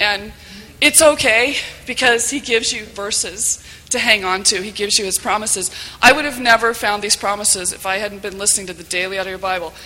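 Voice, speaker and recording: A woman talking at a fairly quick pace, her loudness swinging widely, over noticeable background noise. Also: medium pitch for a woman, ordinary pitch variation. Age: 40s. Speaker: volunteer moderator, mother. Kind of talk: testimony.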